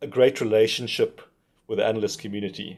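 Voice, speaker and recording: A man's dark, mellow tone with lively intonation. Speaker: magazine editor. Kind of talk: formal welcome speech. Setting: video link to awards event. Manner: hesitant, many ums.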